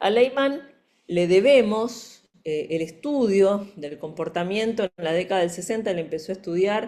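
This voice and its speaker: A woman speaks with lively intonation and a dark, mellow tone, her voice carrying audible room echo. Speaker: forensic psychology expert and lecturer. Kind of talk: lecture.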